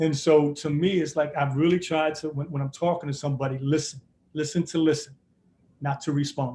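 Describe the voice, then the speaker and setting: A man's somewhat breathy voice, fairly high in pitch with a dark, mellow tone, moves at a fairly quick pace. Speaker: basketball coach. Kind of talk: interview. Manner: fast; animated.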